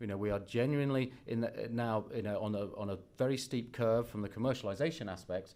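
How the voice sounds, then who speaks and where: A man with a British accent speaks in fairly even intonation. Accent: British accent, noticeable. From UK. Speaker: biotech company executive. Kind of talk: investor presentation. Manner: hesitant, many fillers and restarts.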